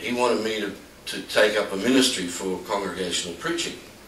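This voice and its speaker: Very fast speech comes through noticeable background noise and audible room echo. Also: man, big swings in loudness. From Australia. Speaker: temple leader. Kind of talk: personal reminiscence talk. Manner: halting.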